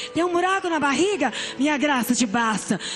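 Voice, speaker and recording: Her pitch swings very widely as she talks over noticeable background noise. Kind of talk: testimony. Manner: emotional, preaching style.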